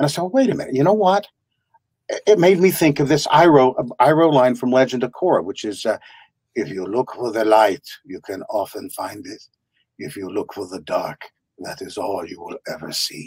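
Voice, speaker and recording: A man speaks at a moderate pace with vocal fry and long, frequent pauses. His pitch swings very widely and his loudness rises and falls sharply. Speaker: voice actor guest. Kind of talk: interview answer. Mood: warm, reflective, humorous.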